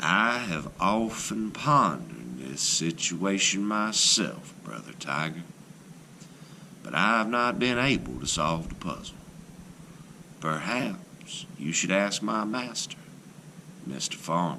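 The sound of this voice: In a put-on character voice, a man speaks slowly and low, with vocal fry, a bright, sharp tone, big pitch swings, long, frequent pauses and audible room echo.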